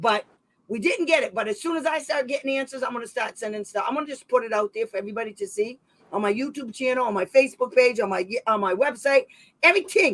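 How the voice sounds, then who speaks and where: Loud and animated, a woman with an American accent talks very fast at a high pitch with lively intonation. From Massachusetts. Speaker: special education advocate and channel host. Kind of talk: heated livestream discussion.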